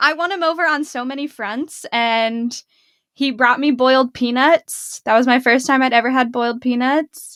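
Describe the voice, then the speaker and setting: A woman with a Pittsburgh accent speaks at a moderate pace with a high pitch and fairly even intonation. The recording is very clean with a silent background, and the sound is dry and close with no echo. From western Pennsylvania (Pittsburgh). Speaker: dentist, podcast co-host. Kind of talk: casual chat.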